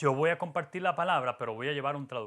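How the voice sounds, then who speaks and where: A very clean recording with a silent background captures this voice. Its tone is bright and sharp. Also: man. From Latin America, Spanish-speaking (moved to US at 14). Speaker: pastor. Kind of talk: sermon. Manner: hesitant, many fillers.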